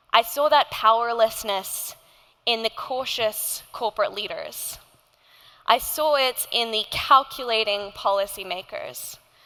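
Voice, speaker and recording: Here a woman talks in an Australian accent with a bright, sharp tone and a fairly high pitch. She goes at a fairly slow pace, and her pitch varies in an ordinary way. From Indonesia. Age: 20s. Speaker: climate activist and nonprofit founder. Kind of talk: keynote speech.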